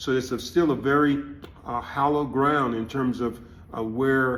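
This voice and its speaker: A man speaks at a medium pitch with fairly even intonation and a moderate pace. The room echo is audible, and there's noticeable background noise. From Louisiana. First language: Louisiana French Creole. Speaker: community elder interviewee. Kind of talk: interview testimony. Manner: halting with many fillers.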